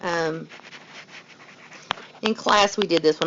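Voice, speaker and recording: Noticeable background noise accompanies a woman speaking with ordinary pitch variation. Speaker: math teacher. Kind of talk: tutorial. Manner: fast.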